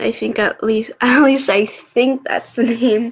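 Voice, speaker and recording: A woman speaks at a very slow pace, somewhat breathy, with fairly even intonation. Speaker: podcast host. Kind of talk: casual podcast intro. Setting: solo podcast recording.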